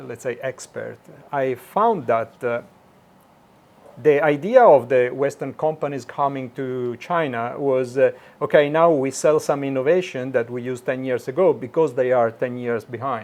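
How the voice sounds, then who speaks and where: With an Italian accent, a man talks at a moderate pace in a fairly high pitch, his pitch varying in an ordinary way. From Italy (Milan). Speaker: automation engineer. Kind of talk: interview. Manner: halting, many fillers.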